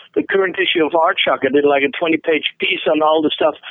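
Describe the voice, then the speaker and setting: A man is speaking. He has a Dutch accent. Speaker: metal magazine founder and festival organizer. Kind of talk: interview.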